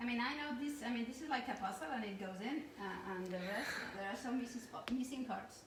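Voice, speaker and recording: A woman with a high pitch talks at a fairly quick pace, using ordinary pitch variation. Noticeable background noise and audible room echo surround her voice. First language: not English. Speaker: cooking class co-host. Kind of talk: live cooking demonstration.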